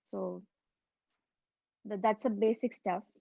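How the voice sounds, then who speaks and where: With a Tamil Nadu accent, the speaker talks at a moderate pace in a dark, mellow tone. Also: woman, dry, close sound with no echo. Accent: Tamil Indian English. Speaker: alumnus speaker at student induction. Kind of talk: informal talk to students. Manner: hesitant, many fillers.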